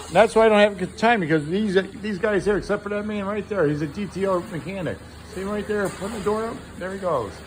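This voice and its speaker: With noticeable background noise behind him, a man talks at a very fast pace in a high voice. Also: fairly even intonation. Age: 60s. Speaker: car restorer. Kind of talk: casual chat.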